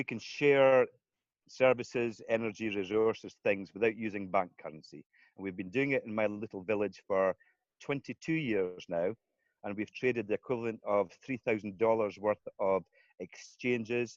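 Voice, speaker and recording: Over a quiet background, in a dry, close sound with no echo, a man with a Scottish accent speaks at a moderate pace and a fairly low pitch with ordinary pitch variation. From Scotland. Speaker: community currency founder. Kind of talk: interview.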